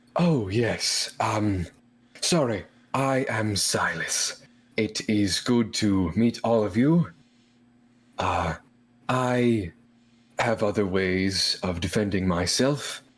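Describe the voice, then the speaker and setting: In a put-on character voice, a man with a fairly low pitch speaks at a very slow pace, with long, frequent pauses. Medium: actual play. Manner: formal, polite.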